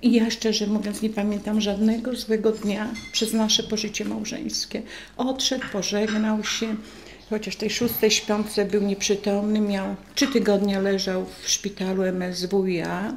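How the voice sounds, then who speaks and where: Light background noise sits behind a woman's voice. She talks at a fairly slow pace in a monotone, flat way. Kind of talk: interview answer. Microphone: studio mic.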